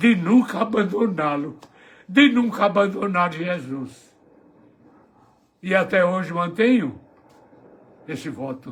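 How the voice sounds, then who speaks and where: Speaking at a high pitch, a man uses lively intonation. He goes at a very slow pace with long, frequent pauses. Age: 80s+. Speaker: elderly preacher. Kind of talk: testimony.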